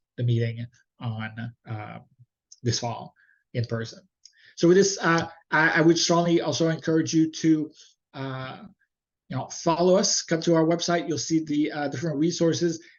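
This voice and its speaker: A man with a fairly high voice talks with long, frequent pauses. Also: ordinary pitch variation, moderate pace. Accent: Montreal. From Quebec, Montreal. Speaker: webinar presenter, higher education administrator. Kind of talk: webinar presentation. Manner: halting with many fillers.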